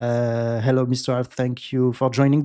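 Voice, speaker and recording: On a very clean recording with a silent background, a man talks at a medium pitch and a moderate pace. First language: not English. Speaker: esports commentator host. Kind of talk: live commentary. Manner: hesitant, many fillers.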